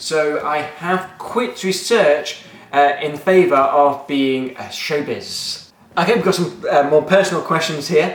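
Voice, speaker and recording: In an English Midlands accent, a man with a fairly high pitch speaks at a fairly slow pace with ordinary pitch variation. Room echo is audible, and background noise is noticeable. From England, Nottingham. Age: 20s. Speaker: maths teacher and video blogger. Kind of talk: casual Q&A vlog. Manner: informal, joking, with many fillers.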